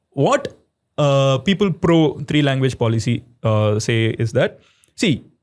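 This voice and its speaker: A man with a Tamil accent, fairly high pitch and lively intonation, at a fairly slow pace with very even loudness. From Tamil Nadu, South India. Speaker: podcast guest. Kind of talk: casual podcast conversation. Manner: hesitant, frequent fillers.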